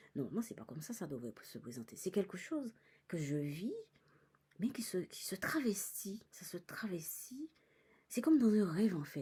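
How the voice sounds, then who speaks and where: A woman speaks at a medium pitch with a dark, mellow tone and vocal fry, her pitch swinging very widely and her loudness shifting a lot. She talks fairly slowly, with long, frequent pauses. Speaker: psychic medium vlogger. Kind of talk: personal vlog monologue. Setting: in a cinema. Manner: halting.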